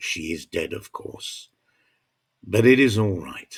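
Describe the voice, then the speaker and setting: A somewhat breathy man talks at a very slow pace. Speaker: narrator. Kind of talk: audiobook story narration.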